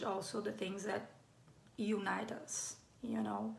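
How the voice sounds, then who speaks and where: With audible room echo, a woman in a Brazilian accent speaks at a very slow pace. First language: Brazilian Portuguese. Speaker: playwright. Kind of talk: live online talk. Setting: live stream. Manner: halting, many fillers.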